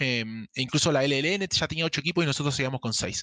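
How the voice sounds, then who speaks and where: A man speaks very fast at a fairly high pitch, with ordinary pitch variation. The sound is dry and close, with no echo. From Argentina, Misiones province. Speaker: esports league staff. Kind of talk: interview.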